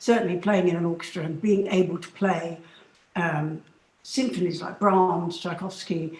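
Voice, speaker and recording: Fairly even intonation with a southern English accent. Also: woman. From London, England. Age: 70s. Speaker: flute soloist and professor. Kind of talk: interview. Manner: hesitant fillers.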